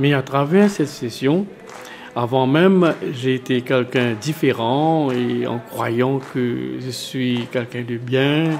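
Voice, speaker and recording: A man speaks at a very slow pace, his pitch medium. Music plays in the background. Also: ordinary pitch variation. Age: 60s. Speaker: parishioner. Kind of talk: testimony. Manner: halting.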